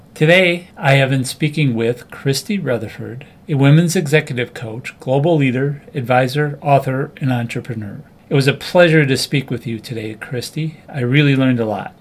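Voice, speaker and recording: At a moderate pace with hardly any pauses, a man talks in an unremarkable speaking voice, fairly high in pitch, with ordinary pitch variation. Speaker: podcast host interviewer. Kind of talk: interview questions.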